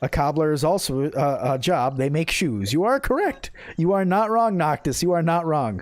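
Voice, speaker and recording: A man with an American accent, fairly high pitch, very wide pitch swings, very even loudness and a moderate pace. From Minnesota. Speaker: gaming streamer. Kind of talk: casual chat. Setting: live stream. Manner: halting.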